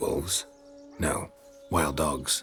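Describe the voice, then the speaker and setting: Over clear background music, a man performs a put-on character voice. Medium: machinima. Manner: terse, deadpan.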